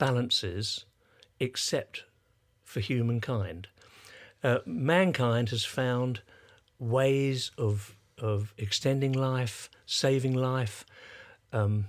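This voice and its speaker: A man with an English accent talks very slowly at a medium pitch, leaving long, frequent pauses and varying his pitch in an ordinary way. The recording is very clean, with a silent background. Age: 80s+. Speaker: sound engineer and musician. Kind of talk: casual interview. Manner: halting.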